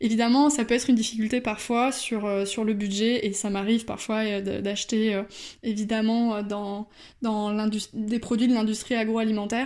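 A woman's fairly high voice in a monotone, flat delivery, on a very clean recording with a silent background. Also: moderate pace. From France, Bordeaux. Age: 20s. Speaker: podcast contributor sharing her experience. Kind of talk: personal testimony voice note. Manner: hesitant with fillers.

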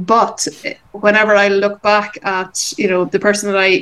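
A normal speaking voice with fairly even intonation at a moderate pace. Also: woman. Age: 40s. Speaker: business coach and entrepreneur. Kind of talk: interview.

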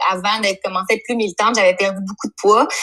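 The speaker is a woman with a fairly high pitch. Her intonation stays fairly even. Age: 30s. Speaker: psychosocial worker. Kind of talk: casual chat.

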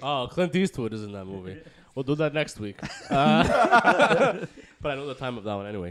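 With an American accent, a man speaks at medium pitch and moderate pace, using very wide pitch swings and big swings in loudness over noticeable background noise. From US Northeast (Bronx, New York). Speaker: podcast co-host. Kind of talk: casual chat. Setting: studio.

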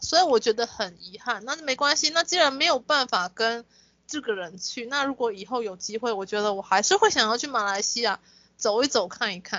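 A woman speaks in a plain, everyday voice at a moderate pace, her intonation lively. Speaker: podcast co-host. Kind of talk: casual chat.

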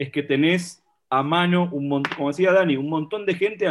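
A man with a plain, everyday voice and a fairly high pitch speaks at a moderate pace with ordinary pitch variation. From Argentina, Buenos Aires area. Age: 40s. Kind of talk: casual chat.

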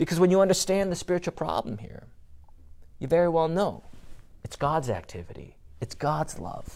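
Talking at a moderate pace in a high pitch, a man leaves long, frequent pauses, and his loudness swings widely. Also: ordinary pitch variation. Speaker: pastor. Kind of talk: sermon. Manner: halting.

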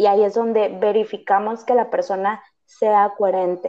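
A woman at a fairly high pitch, talking at a moderate pace. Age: 20s. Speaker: psychologist. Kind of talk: interview. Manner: hesitant, many fillers.

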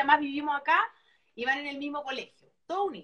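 A woman speaks in a Chilean accent with a high-pitched voice. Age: 40s. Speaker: former TV presenter. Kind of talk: casual chat.

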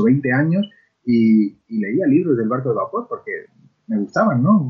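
A man talks at a moderate pace in a somewhat breathy, fairly high voice whose pitch swings very widely. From Spain, La Mancha (Ciudad Real). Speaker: children's book author. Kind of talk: interview.

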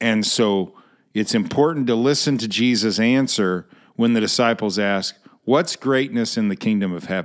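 In an American accent, a man speaks with a normal speaking voice at medium pitch and a moderate pace, his pitch varying in an ordinary way on a very clean recording with a silent background. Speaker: pastor. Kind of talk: Bible study teaching with closing prayer. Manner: conversational, repeats phrases, self-correcting.

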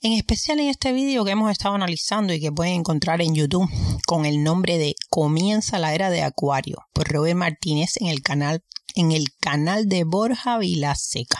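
A woman's fairly low-pitched voice, a plain, everyday voice, with lively intonation, very even loudness and a moderate pace. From Cuba. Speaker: podcast host. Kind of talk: solo podcast commentary.

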